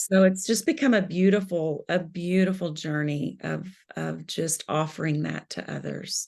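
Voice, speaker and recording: Against a quiet background, a woman with a Southern US accent talks at a fairly slow pace. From US South, Kentucky. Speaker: spiritual director. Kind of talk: interview.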